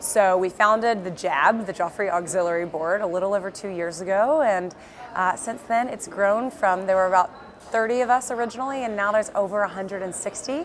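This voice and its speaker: Her pitch sits in the middle range for a woman, rising and falling by an ordinary amount. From US South, Birmingham, Alabama. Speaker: entrepreneur, company founder. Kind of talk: interview. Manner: casual with many fillers.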